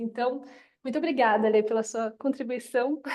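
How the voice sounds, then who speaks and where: In a Paraná accent, a woman speaks at a moderate pace. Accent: Paraná interior. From interior of Paraná, Brazil. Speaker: yoga teacher. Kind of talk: live webinar talk. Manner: enthusiastic.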